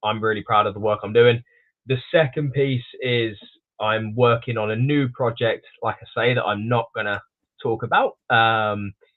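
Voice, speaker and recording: A man talks with an English accent in a medium pitch. He keeps a moderate pace and fairly even intonation. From England. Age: 20s. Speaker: snake breeder. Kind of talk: podcast interview. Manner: halting, many fillers and restarts.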